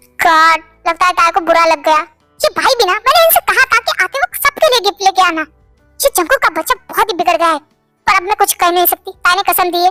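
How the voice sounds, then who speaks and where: Over faint background music, a woman does a put-on character voice at an extremely high pitch, talking very fast with very even loudness. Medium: read story.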